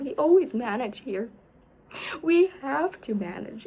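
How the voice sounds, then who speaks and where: Over noticeable background noise, a woman speaks in a high pitch with very wide pitch swings. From United States. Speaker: vlogger. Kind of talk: casual vlog storytelling. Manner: rambling, filler-heavy.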